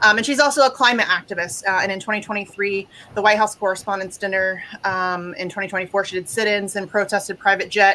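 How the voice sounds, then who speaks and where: A woman at a medium pitch talks very fast with fairly even intonation. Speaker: activist show host. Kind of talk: guest introductions on a live show. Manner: many filler words (um, uh).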